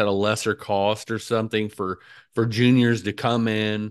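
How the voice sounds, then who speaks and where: Over a quiet background, a man speaks at a moderate pace in a medium pitch. He has an unremarkable speaking voice with fairly even intonation. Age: 40s. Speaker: podcast host. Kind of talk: casual chat.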